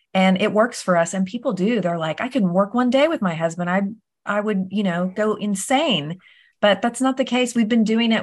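A woman at a medium pitch, at a fairly quick pace, with ordinary pitch variation. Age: 40s. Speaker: real estate agent and author. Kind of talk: interview.

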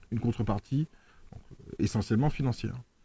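Dry and close with no echo on a very clean, silent recording, a man speaks in a dark, mellow tone. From France. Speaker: local politician. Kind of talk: radio interview. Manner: halting, many fillers and repetitions.

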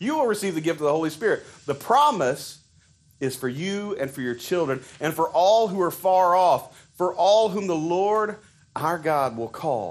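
High pitch and lively intonation from a man at a moderate pace. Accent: Southern US. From Arkansas. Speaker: preacher. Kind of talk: sermon. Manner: halting, conversational, with frequent fillers.

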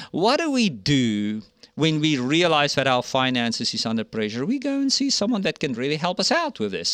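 An animated man with a fairly high pitch, very wide pitch swings and a moderate pace, over a quiet background. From Africa. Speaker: podcast host, missions ministry director. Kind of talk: faith podcast interview. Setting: studio.

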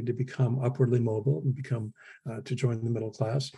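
At a fairly quick pace, a man with a dark, mellow, somewhat breathy voice at medium pitch speaks with fairly even intonation over a quiet background. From US Midwest. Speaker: historian. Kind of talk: interview.

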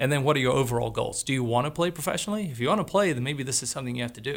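Very fast, with vocal fry and ordinary pitch variation, a man speaks. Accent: Australian. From Australia. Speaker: college soccer coach. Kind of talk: casual chat. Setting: studio. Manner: animated.

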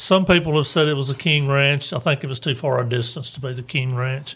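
With a Tennessee accent, this man talks at a fairly quick pace in a fairly high pitch, with ordinary pitch variation. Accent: Tennessee Southern US. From Lawrenceburg, Tennessee. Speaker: banker and local historian. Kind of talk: interview. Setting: studio.

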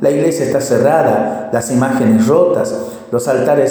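Reading aloud, the voice stays natural throughout.

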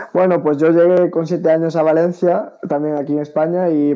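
A man's fairly high voice in a monotone, flat intonation. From Spain, Galicia. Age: young. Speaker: taekwondo athlete. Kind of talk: interview. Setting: video call from home. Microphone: delay on connection.

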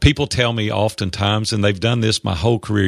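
A man talks at a fairly quick pace with a fairly low pitch and vocal fry. The sound is dry and close, with no echo. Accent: Tennessee. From US South. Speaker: business coach and entrepreneur. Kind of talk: interview, storytelling.

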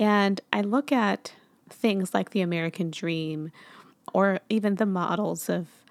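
In a very clean recording with a silent background and a dry, close sound with no echo, a woman with a fairly low pitch uses a normal speaking voice with ordinary pitch variation. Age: 30s. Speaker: podcast host. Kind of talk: casual interview.

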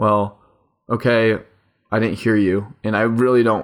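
With a monotone, flat delivery, a man speaks at a fairly low pitch on a very clean recording with a silent background. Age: 20s. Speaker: podcast host. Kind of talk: solo personal monologue. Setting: home recording at microphone. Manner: fast.

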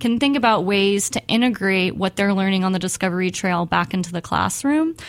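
A normal speaking voice from a woman with an American accent, medium pitch and a fairly quick pace, in a very clean recording with a silent background. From US South, Texas (Alvin, near Houston). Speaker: graduate student. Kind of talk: radio interview. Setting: radio studio.

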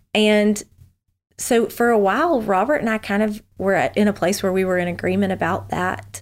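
This woman speaks at a medium pitch with ordinary pitch variation, in a Southern US accent. Her pace is moderate and her loudness stays very even. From US South, Memphis, Tennessee. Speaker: former missionary. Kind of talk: casual interview.

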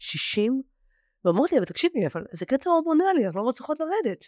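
In a very clean recording with a silent background and a dry, close sound with no echo, a woman speaks with very wide pitch swings. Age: 40s. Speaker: former client of a weight-loss program. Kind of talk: interview.

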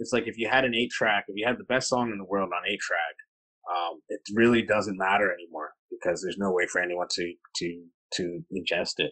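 With a Canadian accent, a man talks in an unremarkable speaking voice at a moderate pace, fairly low in pitch with ordinary pitch variation and a dry, close sound with no echo. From Kitchener, Ontario, Canada. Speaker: artist and curator. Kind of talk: interview conversation.

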